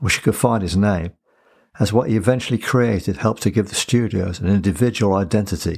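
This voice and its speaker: Speaking at a very fast pace, a man with a fairly low pitch shows ordinary pitch variation. The recording is very clean against a silent background. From England, Coventry. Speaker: podcast host. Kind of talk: scripted narration; interview.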